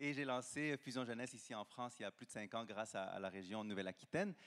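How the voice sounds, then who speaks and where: Medium pitch and ordinary pitch variation in a man's speech. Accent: slight Quebec. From Quebec. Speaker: founder of a youth nonprofit. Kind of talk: panel discussion.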